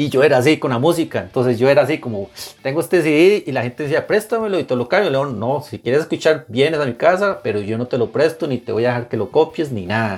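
A man's fairly high voice with lively intonation, a very fast pace and hardly any pauses, over noticeable background noise. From Costa Rica. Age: 40s. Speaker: music blogger. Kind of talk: casual interview.

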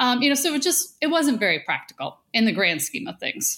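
A woman with an American accent is heard in a very clean recording against a silent background. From Western New York (south of Buffalo). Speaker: food company CEO. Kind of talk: interview.

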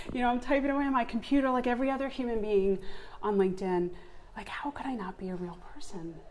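Very fast, lively intonation in an American accent, over noticeable background noise. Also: woman, fairly high pitch for a woman. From Long Island, New York. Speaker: solopreneur, podcast guest. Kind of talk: casual conversational interview.

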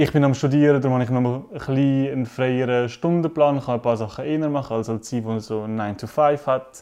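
A man's medium-pitched voice, dark and mellow in tone, at a fairly quick pace with fairly even intonation and hardly any pauses. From Switzerland, Zurich. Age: 20s. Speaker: student and activist. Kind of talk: casual discussion.

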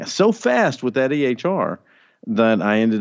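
A man speaks with a Southern US accent. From Arkansas. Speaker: physician and health informatics leader. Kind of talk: casual interview chat. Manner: animated, friendly.

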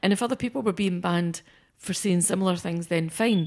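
A woman speaks in a Scottish accent at a medium pitch with ordinary variation. Behind her, the background stays quiet. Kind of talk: casual chat.

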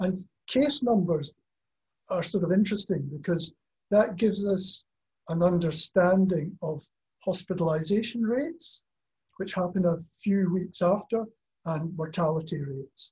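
A man with a Scottish accent speaks in a high voice at a fairly slow pace, with ordinary pitch variation. Long pauses come often, and the sound is dry and close with no echo. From Scotland. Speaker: professor. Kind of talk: webinar panel talk. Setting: video call.

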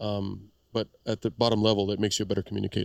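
A man speaks with an American accent. The recording is dry and close, with no echo. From South Texas.

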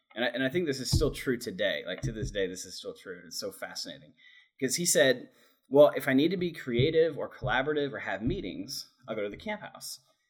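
A man talks very fast at a fairly high pitch, with vocal fry. His pitch swings very widely and his loudness shifts in big swings. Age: 30s. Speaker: coffee shop director. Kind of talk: casual chat.

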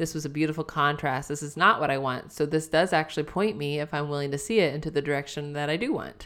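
A woman with a very deep, low voice talks very fast with hardly any pauses. Her intonation stays fairly even. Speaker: podcast host. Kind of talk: casual conversational podcast chat.

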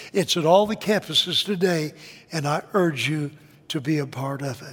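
Speech moves along at a moderate speed. The pitch rises and falls in an ordinary way. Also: man. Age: 80s+. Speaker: guest preacher. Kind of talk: sermon. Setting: church with congregation.

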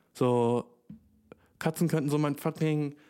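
A man speaking with music in the background. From Germany. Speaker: podcast host. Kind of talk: casual solo podcast monologue. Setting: home recording with new microphone. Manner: animated, slangy.

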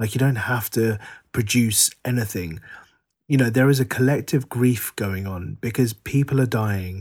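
In a very clean recording with a silent background, a somewhat breathy man with a London accent speaks at a medium pitch and a moderate pace, using ordinary pitch variation. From England, Harrow, northwest London. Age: 40s. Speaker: writer. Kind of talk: interview conversation.

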